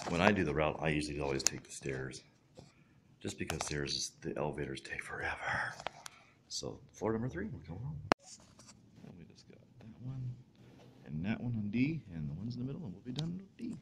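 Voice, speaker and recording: Amid noticeable background noise, a man with a fairly low, fry-tinged voice talks at a fairly quick pace, his pitch swinging very widely, broken by long, frequent pauses. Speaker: vlogger doing a delivery route; newspaper route helper vlogger. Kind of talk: casual vlog narration. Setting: indoors, retirement home. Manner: quiet, hushed. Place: hall. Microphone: phone near.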